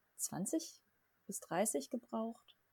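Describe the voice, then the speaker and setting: A woman speaks in a dark, mellow, somewhat breathy voice. The sound is dry and close, with no echo. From southern Germany (Lech area). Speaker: board game podcast host. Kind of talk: casual chat.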